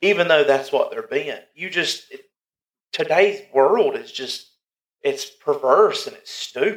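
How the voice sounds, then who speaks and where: A man speaks here. His pace is fairly slow. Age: 30s. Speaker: podcast co-host, father. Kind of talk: casual chat.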